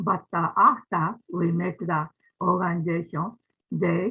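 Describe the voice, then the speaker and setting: Speaking very slowly, a woman has a Japanese accent and a fairly low pitch. Her pitch variation is ordinary. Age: 90s. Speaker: ikebana teacher, organization founder. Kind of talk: closing remarks at online event. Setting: video call. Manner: halting.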